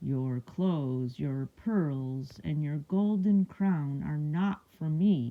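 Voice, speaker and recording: This put-on character voice moves at a very slow pace in a low-to-middle pitch with hardly any pauses. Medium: read story.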